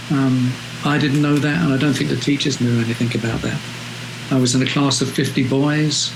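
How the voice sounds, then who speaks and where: With a London accent, a man talks at a fairly quick pace and medium pitch, his intonation fairly even and his loudness very even. The room echo is audible, and there is noticeable background noise. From London, England. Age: 70s. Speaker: photographer. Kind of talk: interview. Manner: hesitant, many fillers.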